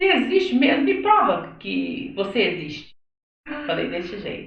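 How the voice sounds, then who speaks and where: Her pitch sits high for a woman. It moves in very wide swings. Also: moderate pace. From Minas Gerais, Brazil (Belo Horizonte). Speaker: church singer. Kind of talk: testimony. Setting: live video podcast. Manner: animated.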